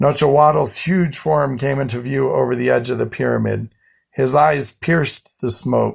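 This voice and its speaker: Putting on a character voice, a man speaks in a raspy, medium-pitched voice at a moderate pace. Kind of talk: epic historical storytelling. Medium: read story. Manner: measured, short sentences.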